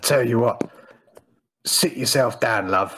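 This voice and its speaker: In a put-on character voice, a man speaks with a raspy sound at medium pitch and a moderate pace. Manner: gruff, jovial.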